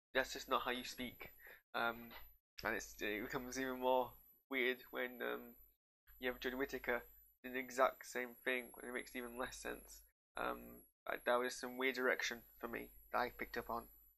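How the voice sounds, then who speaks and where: A man with a northern English accent talks at a moderate pace. His speech has long, frequent pauses. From northern England. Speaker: TV reviewer. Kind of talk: casual reaction commentary. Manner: halting.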